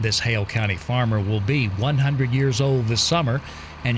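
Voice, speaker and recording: A man of medium pitch speaks at a moderate pace with ordinary pitch variation. Noticeable background noise is present. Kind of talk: news report narration.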